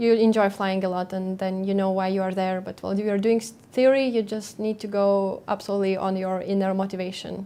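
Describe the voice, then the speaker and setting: A woman with a Lithuanian accent speaks at a medium pitch in a dark, mellow tone with monotone, flat intonation. She goes at a fairly quick pace with hardly any pauses, in a very clean recording with a silent background. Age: 20s. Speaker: airline pilot. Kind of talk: Q&A session. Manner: hesitant, many fillers.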